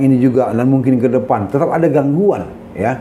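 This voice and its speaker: Through audible room echo and noticeable background noise, a man talks very fast at medium pitch with ordinary pitch variation. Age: 60s. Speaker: senior lawyer. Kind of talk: interview. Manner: halting, with fillers.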